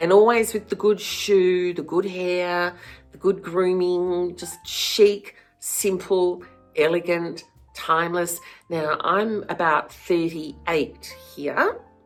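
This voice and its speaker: Music plays behind a woman speaking at a very slow pace. Her voice is fairly low, with fairly even intonation. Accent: Australian. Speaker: former fashion stylist, flower farmer. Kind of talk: casual talk to camera.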